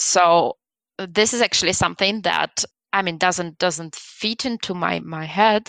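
Speaking at a very slow pace with a Belarusian accent, a woman of medium pitch is recorded in a dry, close sound with no echo over a quiet background. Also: ordinary pitch variation. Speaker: guest from Belarus. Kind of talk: casual interview.

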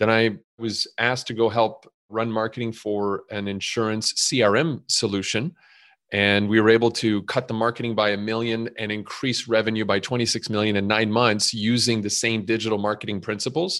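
A man with an unremarkable speaking voice, medium pitch, fairly even intonation and a moderate pace, against a quiet background. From Montreal, Canada. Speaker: startup CEO, e-learning platform. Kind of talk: casual interview.

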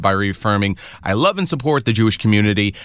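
Fairly quick delivery from a man, an ordinary speaking voice, pitched fairly low. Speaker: entertainment news podcast co-host. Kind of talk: casual chat.

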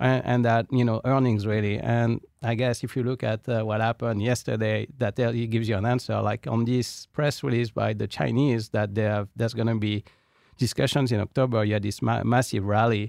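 A French accent at a fairly quick pace, with fairly even intonation and dry, close sound with no echo against a quiet background. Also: man, medium pitch for a man, very even loudness. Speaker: investment committee member. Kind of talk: casual market discussion. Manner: halting, many fillers.

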